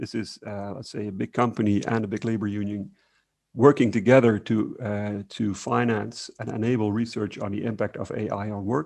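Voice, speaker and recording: A man talks in a fairly low pitch with a monotone, flat delivery. The background is quiet. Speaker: researcher presenting at workshop. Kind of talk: conference presentation. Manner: fast; hesitant, many fillers.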